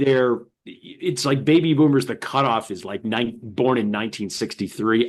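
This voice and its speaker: A man talks at a moderate pace over a quiet background. He has a plain, everyday voice with ordinary pitch variation. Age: 60s. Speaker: stand-up comedian and author. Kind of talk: interview.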